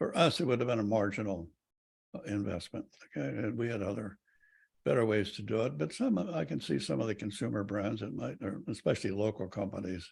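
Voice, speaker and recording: Fairly low-pitched man with vocal fry, lively intonation and a fairly quick pace. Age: 90s. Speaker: retired airline executive. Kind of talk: interview. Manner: halting, many fillers.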